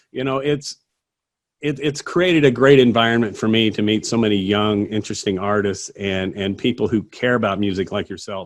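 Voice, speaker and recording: A man speaks in a plain, everyday voice with a fairly low pitch. His pace is fairly quick, with ordinary pitch variation. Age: 50s. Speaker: singer-songwriter. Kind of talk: casual interview.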